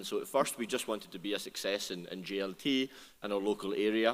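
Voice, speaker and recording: Words come out at a fairly quick clip. It's delivered with a Scottish accent. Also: man. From Scotland. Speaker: restaurant brand founder. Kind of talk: panel discussion. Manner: halting, many repetitions.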